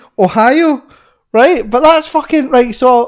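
A male speaker with a Scottish accent. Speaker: podcast co-host. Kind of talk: casual chat.

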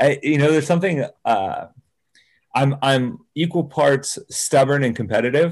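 A plain, everyday voice, this man's is fairly high in pitch with ordinary variation, delivered in an American accent at a moderate pace with very even loudness. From California central coast (Salinas). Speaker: fitness podcast co-host and athlete. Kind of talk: casual interview chat.

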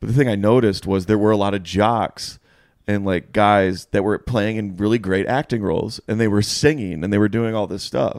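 A man's normal speaking voice, a normal speaking voice at a fairly low pitch with fairly even intonation and a moderate pace, on a very clean recording with a silent background. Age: 30s. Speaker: comedy podcast host. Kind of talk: casual chat. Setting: home living room.

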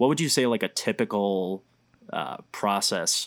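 A man's normal speaking voice, fairly low in pitch, on a very clean recording with a silent background. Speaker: podcast interviewer. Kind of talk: interview.

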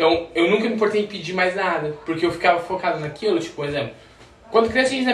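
Over noticeable background noise and audible room echo, a man with a high pitch and ordinary pitch variation speaks at a very fast pace. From Goiânia, Brazil. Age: 20s. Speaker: immigrant. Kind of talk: casual chat.

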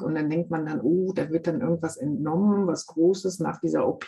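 Somewhat breathy and dark, mellow in tone, a woman speaks at a moderate pace with a fairly low pitch and ordinary pitch variation. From Germany, Münsterland. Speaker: podcast host, stem cell recipient. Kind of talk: casual interview. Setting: video call.

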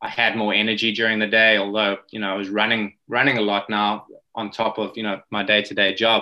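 A man's fairly low, fairly quick voice with a South African accent and monotone, flat intonation. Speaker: rowing coach. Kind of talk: interview. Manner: hesitant, many fillers and repeated words.

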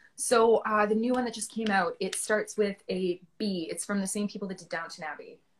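A somewhat breathy woman with a Canadian accent, fairly high in pitch, at a moderate pace. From Ontario, Canada. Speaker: actor. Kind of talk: casual chat interview. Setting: Instagram live video chat.

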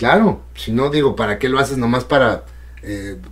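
The man's voice is somewhat breathy. Its pitch varies in an ordinary way. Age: 60s. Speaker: radio and TV broadcaster. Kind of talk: casual chat.

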